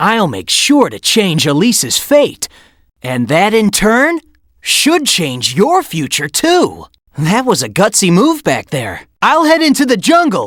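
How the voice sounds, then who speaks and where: In a very clean recording with a silent background, a cartoonish character voice at a fairly high pitch moves at a fairly slow pace with very wide pitch swings. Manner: confident, breezy.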